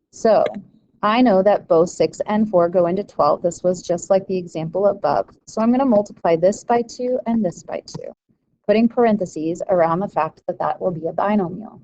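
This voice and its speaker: A woman speaks at a medium pitch and moderate pace with ordinary pitch variation. Hers is an unremarkable speaking voice. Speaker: math teacher. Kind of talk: tutorial.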